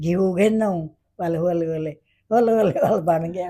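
Dark, mellow female speech at a medium pitch. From Pakistan, Multan region. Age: 80s+. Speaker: partition survivor. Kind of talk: interview answer.

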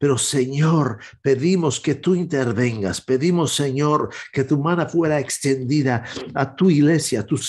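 Speaking at a fairly slow pace in a solemn tone, a man has a fairly high pitch and ordinary pitch variation. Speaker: evangelist and prayer show host. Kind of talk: fervent intercessory prayer, addressing God directly. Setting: online broadcast. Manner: earnest, pleading, solemn; halting, with frequent filler hesitations. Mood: earnest, pleading prayer. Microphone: webcam.

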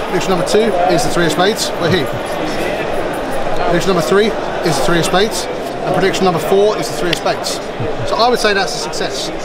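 Loud background noise fills the recording. A man speaks at a very fast pace. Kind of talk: trick demonstration patter. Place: hall. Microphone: camera far.

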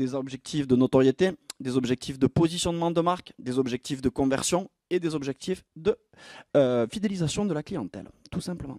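Against a quiet background, a man with a fairly high pitch and a dark, mellow tone speaks at a moderate pace, the sound dry with no echo. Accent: southwestern French. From southwest France. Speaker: entrepreneur and conference speaker; presenter. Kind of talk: conference masterclass talk; conference talk. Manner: lively, with frequent filler 'euh'. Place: stage. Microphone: handheld.

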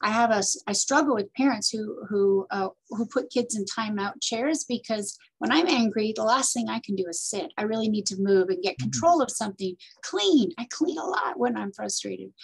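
Against a quiet background, a woman with a fairly high pitch talks at a moderate pace with lively intonation. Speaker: parenting coach and nonprofit director. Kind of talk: interview. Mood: warm, thoughtful. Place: office. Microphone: webcam.

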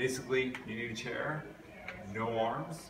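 Over noticeable background noise, a man is speaking. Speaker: physical education teacher. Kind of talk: tutorial. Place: hall. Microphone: camera far.

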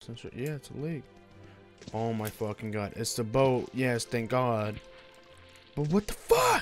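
Fairly slow speech with long, frequent pauses, big swings in loudness, and ordinary pitch variation, set over music in the background. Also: man, medium pitch for a man. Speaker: gaming YouTuber. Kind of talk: casual gameplay commentary.

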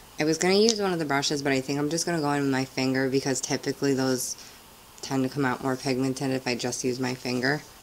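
A woman speaks very fast and quietly, in a very deep, low register. Her pitch moves in an ordinary way over light background noise. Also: very even loudness. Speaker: beauty vlogger. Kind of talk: casual talk to camera. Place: home room.

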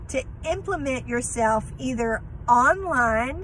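A woman is speaking over light background noise. The sound is dry, with no echo. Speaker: speaker. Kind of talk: casual vlog chat. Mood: reflective, encouraging. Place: car. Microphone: phone near.

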